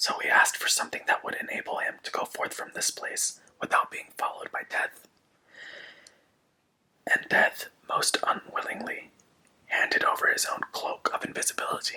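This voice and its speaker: A man is whispering. His pace is moderate. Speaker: ASMR content creator. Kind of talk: ASMR story reading.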